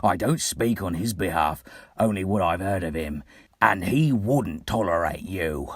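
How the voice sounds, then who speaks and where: A man uses a put-on, growling character voice with a very deep, low pitch and lively intonation. The recording is very clean, with a silent background. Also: moderate pace. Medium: read story. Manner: loud, blustering.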